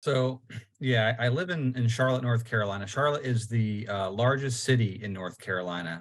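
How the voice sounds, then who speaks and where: A man talks at a fairly quick pace with a New York accent. His pitch sits at a medium level, with ordinary pitch variation. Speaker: local party chairman, panelist. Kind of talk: podcast panel discussion.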